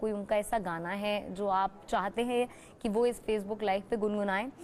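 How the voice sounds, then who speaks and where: A woman speaks at a moderate pace in a fairly high pitch with fairly even intonation. She has a normal speaking voice. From Uttarakhand, India. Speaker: TV news anchor. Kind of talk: live TV interview. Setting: remote video link on Facebook live.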